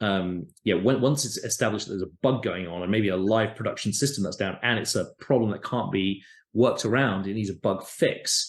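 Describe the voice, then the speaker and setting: Against a quiet background, a man with a fairly low pitch talks at a fairly quick pace with hardly any pauses. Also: ordinary pitch variation. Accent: British. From UK. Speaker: tech company founder and CEO. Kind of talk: interview.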